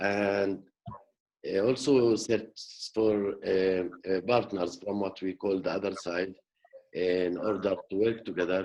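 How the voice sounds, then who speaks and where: A man with a Middle Eastern accent speaks very slowly in a fairly low, flat monotone. He leaves long, frequent pauses. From West Bank, Jerusalem area. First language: Arabic. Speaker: peace activist. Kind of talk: panel discussion. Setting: video call. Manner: halting, many fillers.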